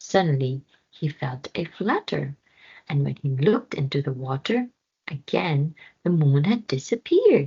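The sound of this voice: Her voice is low for a woman, dark and mellow with a husky, rough edge, moving in big pitch swings at a fairly slow pace.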